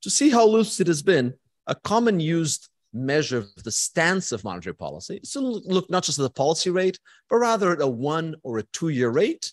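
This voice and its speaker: This man's voice is high-pitched and his pace is fairly quick. The sound is dry with no echo over a quiet background. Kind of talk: lecture. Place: hall.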